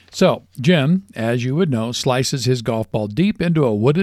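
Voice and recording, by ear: Someone reads aloud in a natural voice, their intonation rising and falling in a lively way.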